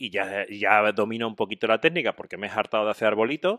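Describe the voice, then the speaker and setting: A man talks at a fairly quick pace with an animated tone and lively intonation. The background is quiet. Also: dry sound with no echo. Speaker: podcast co-host. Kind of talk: casual chat. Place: home room. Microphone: studio mic.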